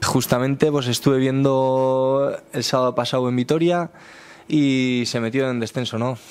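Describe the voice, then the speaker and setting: A man is talking. His pace is moderate. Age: 30s. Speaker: football player. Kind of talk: press conference. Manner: halting, many repeated words. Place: meeting room. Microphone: podium.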